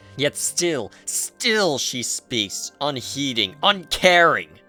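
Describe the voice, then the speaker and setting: A man's voice with music in the background. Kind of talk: dramatic narration, second person. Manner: dramatic, expressive.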